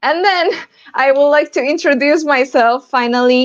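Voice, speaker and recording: Recorded in a dry, close sound with no echo, a woman speaks with an Argentine accent. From Argentina, Buenos Aires. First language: Spanish. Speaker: developer advocate, conference speaker. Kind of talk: conference talk. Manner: hesitant, with fillers.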